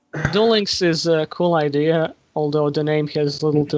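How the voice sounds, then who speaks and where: A man with a non-native accent talks in a fairly high-pitched voice. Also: very even loudness. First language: not English. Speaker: Yu-Gi-Oh YouTuber on a panel. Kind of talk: casual panel discussion. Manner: halting.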